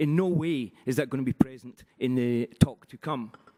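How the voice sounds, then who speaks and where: Heard in dry, close sound with no echo, the man speaks with a Glaswegian accent and ordinary pitch variation. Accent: Glaswegian Scottish. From Scotland, Glasgow. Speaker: conference session chair. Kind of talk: speaker introduction. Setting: conference in Paris with audience. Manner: halting, many fillers.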